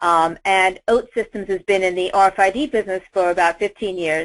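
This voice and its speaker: A woman speaks at a medium pitch with fairly even intonation. The background is quiet. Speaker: industry presenter. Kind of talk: webinar presentation. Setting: virtual event. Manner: fast.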